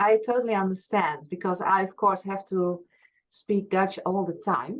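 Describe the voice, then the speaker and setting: At a moderate pace, a woman with a Frisian accent speaks at a medium pitch with ordinary pitch variation. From Friesland, Netherlands. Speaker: past life regression therapist. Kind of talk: interview conversation.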